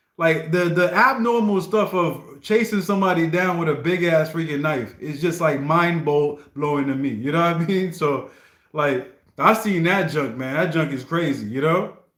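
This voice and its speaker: A man's high-pitched, animated voice with an American accent, at a moderate pace with ordinary pitch variation and audible room echo. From US. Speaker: live streamer. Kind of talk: casual livestream chat, reacting to requests. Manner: animated, repetitive restarts.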